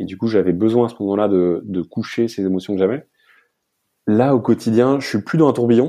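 Against a quiet background, a man with a dark, mellow tone and medium pitch talks at a fairly quick pace with ordinary pitch variation. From Paris region, France. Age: 30s. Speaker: ocean activist and comic book writer. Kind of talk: personal testimony interview. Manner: halting, many hesitations.

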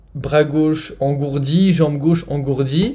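A man with a fairly high pitch talks at a very slow pace in a dark, mellow, somewhat breathy tone. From France. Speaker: nutrition influencer with multiple sclerosis. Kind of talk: interview testimony.

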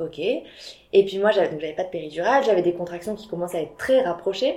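A woman's dark, mellow tone with lively intonation. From southwest France, Biarritz. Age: 30s. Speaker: entrepreneur and mother. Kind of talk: casual interview.

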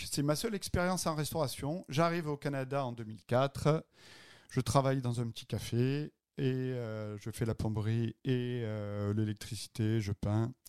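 Through a dry, close sound with no echo, a man speaks at a fairly slow pace and medium pitch with ordinary pitch variation. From southern France, Avignon and Marseille. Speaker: restaurateur and podcast co-host. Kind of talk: casual chat.

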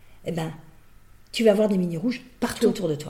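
Talking at a very fast pace, a woman is heard with audible room echo. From Brittany, France. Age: 50s. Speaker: business owner and executive coach. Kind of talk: interview.

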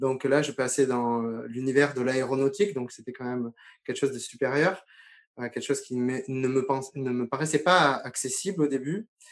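This man's pitch is medium and varies in an ordinary way. He talks at a moderate pace. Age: 40s. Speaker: former military aircraft mechanic. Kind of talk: interview testimony. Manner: halting, many fillers and repetitions.

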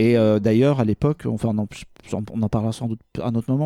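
A man talks at a fairly quick pace in a medium pitch, his tone dark and mellow and his intonation fairly even. The recording is very clean with a silent background, and the sound is dry and close with no echo. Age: 30s. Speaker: pop culture writer and podcaster. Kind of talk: casual chat.

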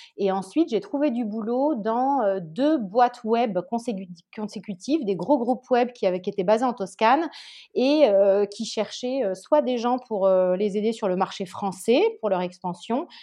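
A woman with an unremarkable speaking voice talks at a fairly slow pace, her fairly high pitch carried by lively intonation. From southern France, Nice. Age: 30s. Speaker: entrepreneur. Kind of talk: interview.

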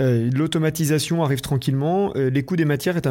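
An ordinary speaking voice. It moves at a moderate pace with ordinary pitch variation. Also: man. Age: 40s. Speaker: podcast host. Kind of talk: interview.

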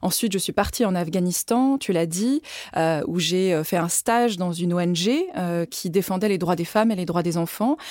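A woman with a plain, everyday voice at a moderate pace, medium pitch and ordinary pitch variation. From France, Lyon. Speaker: ambassador and former member of parliament. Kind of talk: interview.

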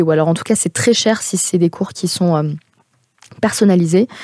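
The sound is dry and close, with no echo. The tone is dark and mellow. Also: woman. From France. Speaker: podcast host. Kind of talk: personal monologue. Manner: hesitant.

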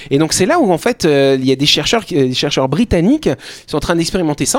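Very wide pitch swings mark this man's high voice. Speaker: radio talk show host. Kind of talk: casual chat. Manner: fast.

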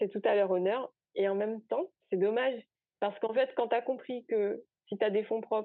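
Moderate pace and ordinary pitch variation from a woman with a fairly high voice. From Guadeloupe. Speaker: R&D innovation consultant. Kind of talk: interview. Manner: hesitant, many fillers.

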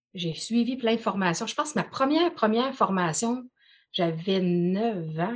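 Somewhat breathy, a woman talks at a moderate pace with lively intonation. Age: 40s. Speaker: personal development coach. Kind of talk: casual chat.

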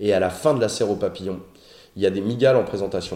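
A man's voice with a dark, mellow tone. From Paris suburbs, France. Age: 30s. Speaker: animal YouTuber. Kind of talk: casual interview chat.

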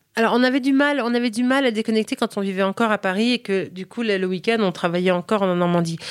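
Speaking at a very fast pace with hardly any pauses, a woman with a fairly high pitch and ordinary pitch variation sounds dry and close with no echo, on a very clean recording with a silent background. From United States (ages 7 to 21), French-speaking home. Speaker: food and lifestyle content creator. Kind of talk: interview conversation. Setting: hotel recording. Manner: hesitant, many repetitions and fillers.

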